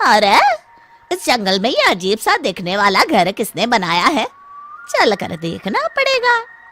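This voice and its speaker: A female-sounding cartoonish character voice, fairly high in pitch. It moves along at a fairly slow pace. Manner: gruff, vengeful.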